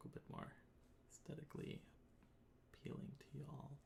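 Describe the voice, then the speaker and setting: Soft-spoken and with vocal fry, a man talks at a fairly quick pace over noticeable background noise. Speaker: composer streaming a live composition show. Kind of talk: live stream tutorial. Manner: halting, many fillers. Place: home room.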